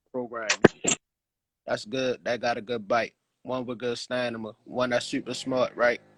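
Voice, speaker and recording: A man at a moderate pace and medium pitch, monotone and flat, with long, frequent pauses and a dry, close sound with no echo. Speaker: dog breeder and live show host. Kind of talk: casual chat. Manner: stammering, repeats words.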